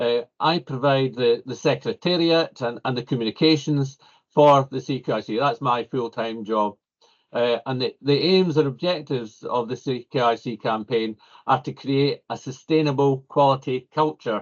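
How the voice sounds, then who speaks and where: Male speaker, a normal speaking voice, medium-pitched, with ordinary pitch variation at a moderate pace. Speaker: civil engineer. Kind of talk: panel discussion.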